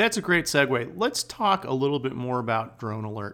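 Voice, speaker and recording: A man with a plain, everyday voice speaks at a moderate pace. His medium pitch carries lively intonation. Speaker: podcast host. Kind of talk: interview conversation.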